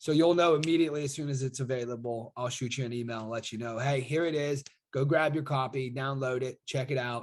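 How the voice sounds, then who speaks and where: A man's medium-pitched voice at a very fast pace with hardly any pauses. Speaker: online marketer and affiliate. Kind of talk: casual video monologue. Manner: animated.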